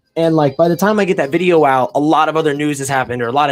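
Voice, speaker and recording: A man speaks with a fairly high pitch. Music plays behind his voice. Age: 20s. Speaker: YouTuber. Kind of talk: casual chat. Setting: livestream to camera. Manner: mumbling.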